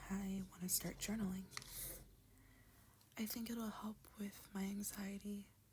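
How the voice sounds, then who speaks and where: The tone is calm and the pace fairly slow. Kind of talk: ASMR unboxing talk to camera. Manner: soft-spoken, calm.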